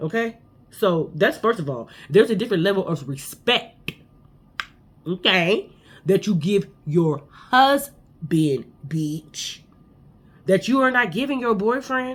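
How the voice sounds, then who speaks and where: Loud and with very wide pitch swings, a woman speaks with long, frequent pauses. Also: medium pitch for a woman. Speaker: reality TV recap podcaster. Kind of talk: casual chat. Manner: fast.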